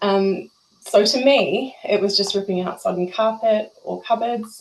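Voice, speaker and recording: This is a woman speaking with a New Zealand accent. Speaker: emergency volunteer. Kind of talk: testimony. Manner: animated.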